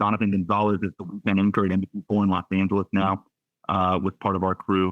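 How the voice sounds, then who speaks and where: A man's very deep, low voice in a Southern California accent, very fast, with monotone, flat intonation. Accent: General American (Southern California). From US West Coast, Santa Clarita, California. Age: 30s. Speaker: sports broadcaster. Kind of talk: podcast interview. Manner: conversational, many fillers and restarts.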